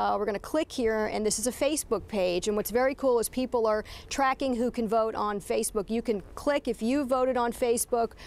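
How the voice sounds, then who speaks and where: This is a plain, everyday voice at a fairly quick pace, with hardly any pauses, very even loudness and ordinary pitch variation. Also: woman, fairly high pitch for a woman. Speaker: television news anchor and reporter. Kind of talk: news anchor segments and interview questions.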